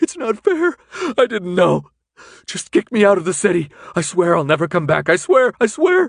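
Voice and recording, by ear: A man puts on a character voice, pitched high and creaking with vocal fry, swinging widely in pitch, in a dry, close sound with no echo. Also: moderate pace.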